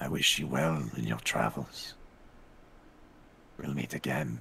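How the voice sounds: A man's raspy, put-on character voice, very deep and low, at a fairly slow pace amid clear background noise.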